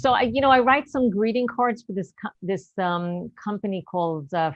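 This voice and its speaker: In an American accent, a woman talks at a moderate pace in an ordinary speaking voice, her medium pitch carrying lively intonation with hardly any pauses. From New York. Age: 60s. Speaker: stand-up comedian. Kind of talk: stand-up. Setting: video call.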